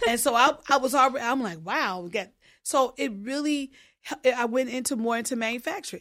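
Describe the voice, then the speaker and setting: A woman with an American accent talks at a fairly quick pace in a high pitch with ordinary pitch variation. Her tone is bright and sharp, and the recording is very clean with a silent background. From Illinois, US Midwest. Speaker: pedicurist and beauty brand founder. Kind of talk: interview. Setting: studio.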